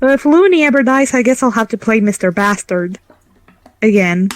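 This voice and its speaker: This is a woman's voice. She talks at a moderate pace with ordinary pitch variation. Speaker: game master. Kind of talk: casual chat. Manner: animated.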